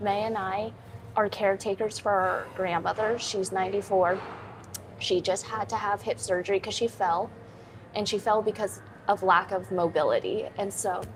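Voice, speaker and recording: A woman's medium-pitched voice with vocal fry, monotone, flat intonation, and a moderate pace. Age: 20s. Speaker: fitness trainer and content creator. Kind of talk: live-stream chat while working out. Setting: gym, live stream. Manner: casual, chatty.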